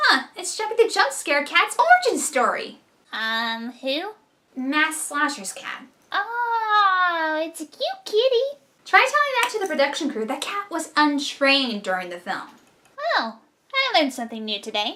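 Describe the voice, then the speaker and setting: A woman puts on a character voice at an extremely high pitch. Very wide pitch swings run through her moderate pace. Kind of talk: online review commentary. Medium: solo performance. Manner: wry, sarcastic.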